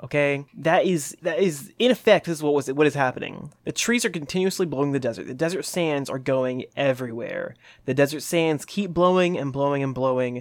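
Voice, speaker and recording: At a moderate pace, a man with an unremarkable speaking voice and ordinary pitch variation comes through on a very clean recording with a silent background. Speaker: podcast host. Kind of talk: casual comedic banter. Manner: jokey, playful.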